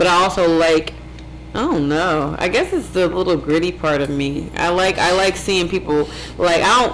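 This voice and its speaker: A woman's fairly low voice with an American accent and fairly even intonation, over noticeable background noise. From Ohio (Warren). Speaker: vegan chef and business owner. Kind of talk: casual interview chat. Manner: fast.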